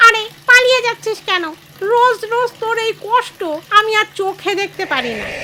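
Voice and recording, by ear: Using a put-on character voice, a woman speaks at a moderate pace in a nasal, raised, projected tone at an extremely high pitch.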